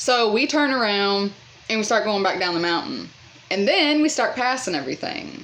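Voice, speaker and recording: Noticeable background noise surrounds a woman speaking with lively intonation. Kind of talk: casual story time talk to camera. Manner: chatty.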